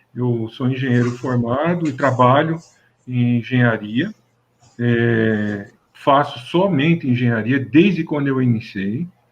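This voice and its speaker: Very slow and full of long, frequent pauses, a man speaks at a medium pitch. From interior of São Paulo state, Brazil. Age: 60s. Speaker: mechanical engineer. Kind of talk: interview. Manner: halting, many fillers.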